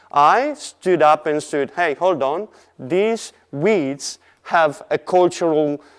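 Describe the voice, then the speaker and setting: A man talks very slowly, and his pitch rises and falls in an ordinary way. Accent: Italian. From Italy. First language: Italian. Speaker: artist. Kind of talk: presentation. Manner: halting.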